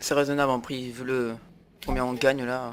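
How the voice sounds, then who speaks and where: This man's pitch sits in the medium range. He talks with monotone, flat intonation. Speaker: gaming video creator. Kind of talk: gameplay commentary. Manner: halting, many fillers.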